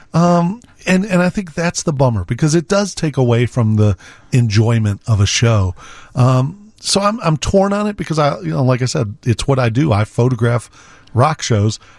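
In an American accent, somewhat breathy speech moves at a moderate pace with very wide pitch swings. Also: man, medium pitch for a man. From Chicago area, Illinois. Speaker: professional photographer. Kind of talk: casual radio interview. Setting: radio studio.

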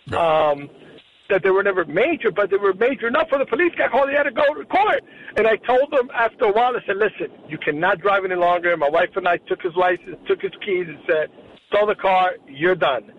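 With an American accent, a man talks at a fairly quick pace in a high voice over noticeable background noise. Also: lively intonation. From New Jersey. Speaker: caller. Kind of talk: phone-in call. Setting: phone call.

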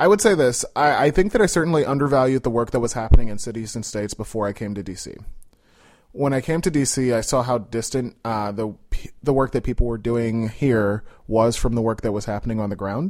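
Talking at a very fast pace, a man with an American accent holds a medium pitch with ordinary variation. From Chicago, Austin neighborhood. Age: 30s. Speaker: digital strategy account manager. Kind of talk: casual interview. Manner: hesitant, many fillers.

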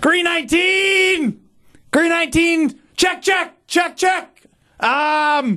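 This is a put-on character voice. The pitch is extremely high. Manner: barking, loud.

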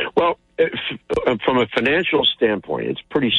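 A man's voice over music in the background. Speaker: solar company guest. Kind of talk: radio interview with promotional pitch. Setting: radio interview. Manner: upbeat, chatty.

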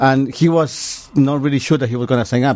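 Speaking with a non-native accent, a man uses a medium pitch, a dark, mellow tone, and ordinary pitch variation. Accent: foreign-accented English. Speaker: storyteller. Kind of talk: casual interview.

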